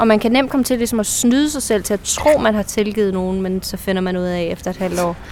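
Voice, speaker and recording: Over noticeable background noise, a woman speaks at a fairly quick pace with hardly any pauses. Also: medium pitch for a woman, ordinary pitch variation. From central Jutland, Denmark. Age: 30s. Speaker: actress. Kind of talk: casual chat. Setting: outdoors.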